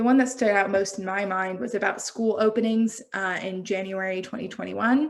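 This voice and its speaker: Speaking with an American accent, a woman with an unremarkable speaking voice keeps a medium pitch and ordinary pitch variation, with hardly any pauses. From United States. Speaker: health systems researcher presenting at a symposium. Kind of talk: conference presentation.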